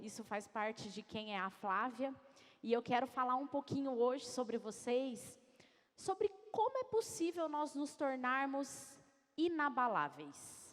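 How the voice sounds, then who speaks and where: A woman with a São Paulo interior accent talks at a very slow pace, her high pitch carried by lively intonation. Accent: caipira accent from interior São Paulo. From interior of São Paulo state, Brazil. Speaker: executive coach, speaker. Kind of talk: motivational talk. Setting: stage with audience. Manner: animated.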